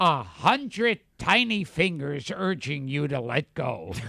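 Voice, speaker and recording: Using a put-on character voice, a man talks at a fairly slow pace. His pitch sits fairly high. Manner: comic, seductive spokesperson.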